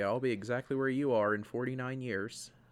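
On a very clean recording with a silent background, a man with a normal speaking voice talks at a moderate pace in a medium pitch with ordinary pitch variation. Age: 20s. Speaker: podcast co-host. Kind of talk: casual chat.

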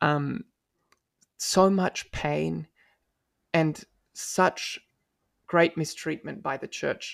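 With an Australian accent, a man speaks at a very slow pace with long, frequent pauses, in a very clean recording with a silent background and a dry, close sound with no echo. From Australia (Melbourne). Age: 20s. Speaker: law student and paralegal. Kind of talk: interview. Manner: articulate.

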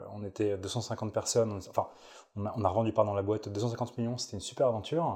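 A man's fairly low, somewhat breathy voice with a dark, mellow tone, fairly even intonation and a fairly quick pace, on a very clean recording with a silent background. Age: 20s. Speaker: startup executive, former founder. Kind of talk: interview. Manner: casual, hesitant with fillers.

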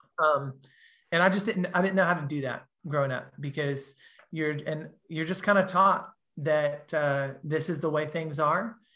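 Over a quiet background, a man with a Southern US accent speaks at a moderate pace in a fairly high, bright, sharp voice with fairly even intonation. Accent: Southern US (Georgia). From US South, Georgia. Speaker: gap year program director. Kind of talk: casual interview. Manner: halting, many fillers.

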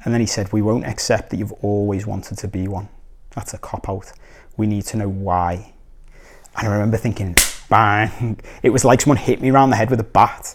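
A man with a Liverpool accent and a fairly low pitch speaks at a fairly quick pace with fairly even intonation on a very clean recording with a silent background. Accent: Scouse (Liverpool). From Liverpool, England. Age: 30s. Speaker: life coach. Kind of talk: personal storytelling monologue. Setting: recorded video. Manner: casual, with frequent fillers and restarts.

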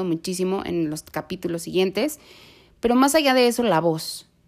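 On a very clean recording with a silent background, a woman talks fairly quickly. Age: 30s. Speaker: nurse and podcast host. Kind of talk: solo podcast monologue.

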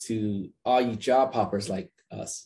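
Medium-pitched male voice, dark and mellow in tone. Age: 30s. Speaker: podcast host, sales development strategist. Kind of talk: casual interview chat. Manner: hesitant with frequent fillers.

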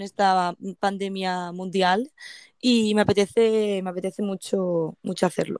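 A woman's medium-pitched, unremarkable speaking voice with fairly even intonation, in a very clean recording with a silent background and a dry, close sound with no echo. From Spain, province of Toledo. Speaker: van traveler. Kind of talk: casual interview.

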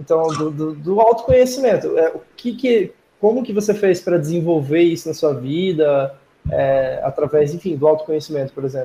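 This is an unremarkable speaking voice with lively intonation and a moderate pace. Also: man, fairly high pitch for a man. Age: 20s. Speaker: podcast host. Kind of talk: interview.

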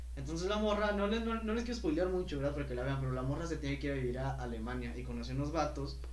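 Noticeable background noise and audible room echo surround a man who speaks very fast at a very deep, low pitch in a monotone, flat intonation. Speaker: podcast co-host, cook. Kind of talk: casual chat.

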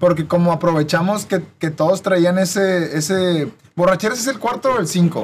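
A man's high voice with ordinary pitch variation at a moderate pace. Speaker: podcast host. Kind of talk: casual chat.

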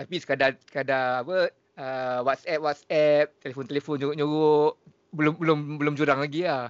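This man's pitch is fairly high. His intonation stays monotone and flat. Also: moderate pace. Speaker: podcast host. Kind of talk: casual chat.

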